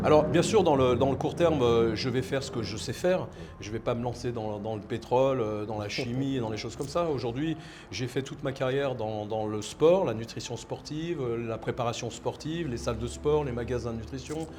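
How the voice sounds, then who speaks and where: Amid noticeable background noise and audible room echo, a man speaks fairly quickly at a medium pitch with ordinary pitch variation. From France. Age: 60s. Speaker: entrepreneur. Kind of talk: interview. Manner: halting, many repetitions.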